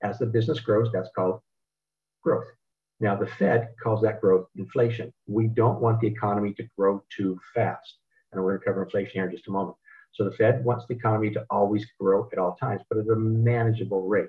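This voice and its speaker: At a fairly quick pace, a man talks with a medium pitch. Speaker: financial educator. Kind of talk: webinar presentation. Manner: fast; animated.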